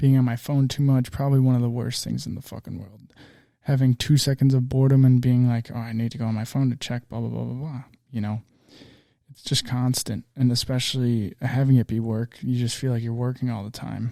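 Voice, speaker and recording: The voice has a dark, mellow tone and a flat, monotone intonation, moving at a fairly quick pace with big swings in loudness. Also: man, medium pitch for a man. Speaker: podcast host and small business owner. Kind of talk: solo podcast monologue. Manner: relaxed, not loud.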